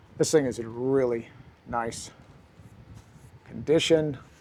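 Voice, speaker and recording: In a dark, mellow, relaxed tone, a man speaks at a medium pitch and a very slow pace. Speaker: record collector youtuber. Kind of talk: casual talk, showing records to camera. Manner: relaxed, with fillers and repeats.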